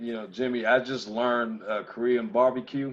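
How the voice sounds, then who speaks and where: Using a normal speaking voice, this man talks with an American accent at a moderate pace, in a medium pitch with fairly even intonation. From US South, Gwinnett County, Georgia. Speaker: sheriff candidate and former police officer. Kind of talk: panel discussion.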